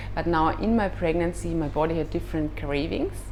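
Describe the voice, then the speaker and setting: With a slight German accent, a woman speaks amid audible room echo and music in the background. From Austria. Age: 30s. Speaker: yoga teacher. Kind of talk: personal advice vlog. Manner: halting, with fillers.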